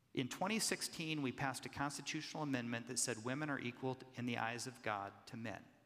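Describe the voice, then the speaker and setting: A man with an American accent at medium pitch, ordinary pitch variation, a fairly quick pace and hardly any pauses, a normal speaking voice. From US Midwest, Kansas City, Kansas. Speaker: pastor. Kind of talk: live public conversation.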